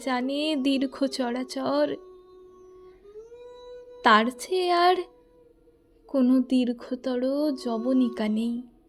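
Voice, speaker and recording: With music playing in the background, a woman speaks in a high voice with ordinary pitch variation. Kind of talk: poetry reading.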